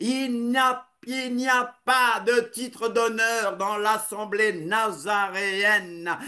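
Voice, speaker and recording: Delivered at a very slow pace, the voice is raised and projected. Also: man, high pitch for a man, ordinary pitch variation. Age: 60s. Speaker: preacher. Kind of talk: sermon.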